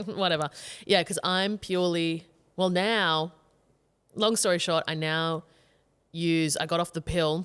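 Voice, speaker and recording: A woman with an Australian accent, fairly low in pitch, at a fairly slow pace with long, frequent pauses, in a very clean recording over a silent background. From Queensland, Australia. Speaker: comedian. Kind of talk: casual chat. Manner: animated.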